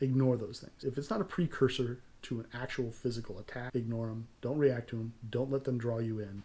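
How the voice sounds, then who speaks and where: Speaking fairly quickly with a General American accent, a man uses a medium pitch and fairly even intonation, his dark, mellow tone somewhat breathy and his loudness swinging widely. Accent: fairly non-regional American. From California. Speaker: self-defense channel host. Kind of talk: tutorial.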